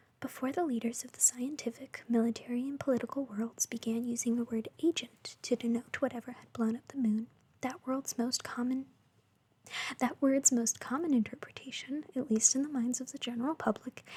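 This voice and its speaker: Someone whispers at a fairly quick pace. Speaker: ASMR creator. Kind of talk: bedtime story reading. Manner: whispered.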